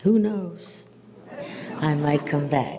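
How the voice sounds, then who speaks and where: A woman at a very slow pace with ordinary pitch variation, over noticeable background noise. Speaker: guest lecturer. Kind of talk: lecture. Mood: warm, amused. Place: stage.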